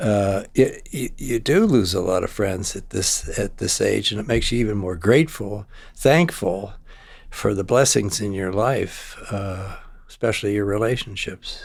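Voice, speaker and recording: A man with an American accent speaks at a moderate pace. His fairly low voice is somewhat breathy, with ordinary pitch variation. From US Midwest, Ohio. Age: 80s+. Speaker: retired technology executive. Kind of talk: casual interview chat. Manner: halting.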